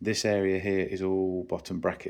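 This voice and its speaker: A man speaks in a very deep, low pitch with monotone, flat intonation. The recording is very clean, with a silent background. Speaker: bike mechanic. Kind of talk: ASMR workshop tour. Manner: calm, gentle.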